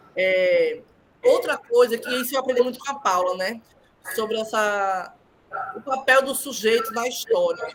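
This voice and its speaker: Over noticeable background noise, a woman with a high voice speaks at a fairly slow pace with ordinary pitch variation and long, frequent pauses. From Northeast Brazil. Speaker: thesis examiner. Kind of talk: thesis defense feedback. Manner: halting.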